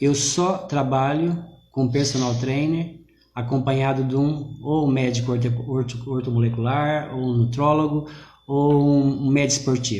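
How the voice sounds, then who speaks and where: Through audible room echo, a man speaks at a fairly slow pace and fairly high pitch, somewhat breathy, with a dark, mellow tone, fairly even intonation and very even loudness. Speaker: personal trainer, business owner. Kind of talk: live online interview. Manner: soft-spoken. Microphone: too quiet.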